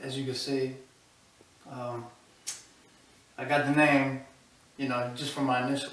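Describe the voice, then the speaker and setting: Speaking at a fairly slow pace, a man delivers flat, monotone intonation at a medium pitch, with audible room echo and noticeable background noise. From Albania, moved to Philadelphia at eight. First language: Albanian. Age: 20s. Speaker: rapper. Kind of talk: casual interview.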